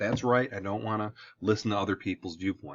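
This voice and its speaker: Against a quiet background, a man speaks with a strong Midwestern accent. His pitch is medium and his pace fairly quick. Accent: thick Midwestern US. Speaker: high school history teacher. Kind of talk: lecture. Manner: casual, conversational.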